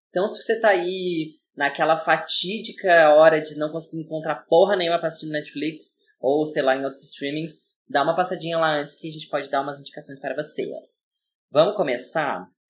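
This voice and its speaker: This is a normal speaking voice at a moderate pace with ordinary pitch variation. Its loudness swings widely. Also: man. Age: 20s. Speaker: podcast co-host, designer. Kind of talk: casual chat.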